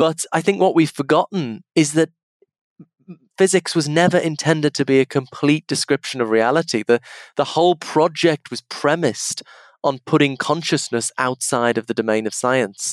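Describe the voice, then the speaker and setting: A man with an English accent talks at a moderate pace, his fairly high pitch showing ordinary pitch variation, in a very clean recording with a silent background and a dry, close sound with no echo. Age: 40s. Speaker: philosophy professor. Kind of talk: interview conversation. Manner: halting.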